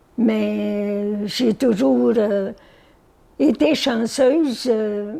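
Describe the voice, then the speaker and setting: A woman's fairly high voice, dark and mellow in tone, with ordinary pitch variation. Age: 80s+. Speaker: retired farm-raised mother and bread delivery worker. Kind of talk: interview answer.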